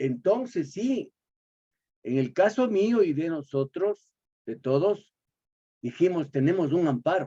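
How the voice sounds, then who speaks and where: A man's high-pitched voice, dark and mellow, at a very slow pace with very wide pitch swings. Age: 70s. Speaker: poet, course participant. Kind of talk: class discussion. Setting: video call.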